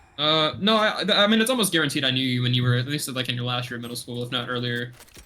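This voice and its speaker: A man talks at a very fast pace. The room echo is audible and the background noise is noticeable. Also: medium pitch for a man, ordinary pitch variation. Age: 20s. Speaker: streamer. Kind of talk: casual chat. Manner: halting.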